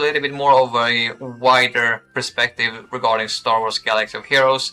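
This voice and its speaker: Here a man with a Swedish accent talks at a moderate pace in a bright, sharp, medium-pitched voice with fairly even intonation. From Sweden. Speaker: gaming streamer. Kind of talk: live stream chat with viewers. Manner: halting, many fillers.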